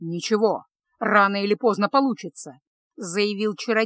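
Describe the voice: Over quiet surroundings comes plain reading aloud.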